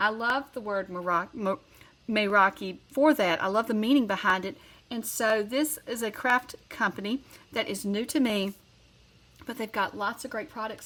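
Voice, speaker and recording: A woman with a Southern US accent, fairly high in pitch, at a moderate pace with ordinary pitch variation. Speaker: card-making crafter. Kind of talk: tutorial. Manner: casual, conversational.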